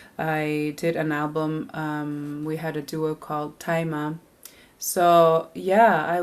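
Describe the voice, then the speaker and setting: On a very clean recording with a silent background, a woman with a Canadian Arctic accent speaks at a fairly low pitch. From Nunavik, northern Quebec, Canada. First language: Inuktitut. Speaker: singer-songwriter. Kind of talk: interview. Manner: halting, many fillers and restarts.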